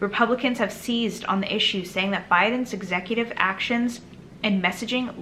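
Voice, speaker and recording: This woman talks at a moderate pace with fairly even intonation over noticeable background noise. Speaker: political commentary youtuber. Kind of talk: reading and commenting on news article.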